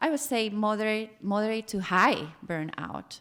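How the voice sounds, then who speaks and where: Speaking at a very slow pace, a woman has a fairly high pitch. She talks with a Costa Rican accent. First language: Spanish. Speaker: former family psychotherapist, panelist. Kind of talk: panel talk, personal testimony. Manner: hesitant, with fillers and repetitions.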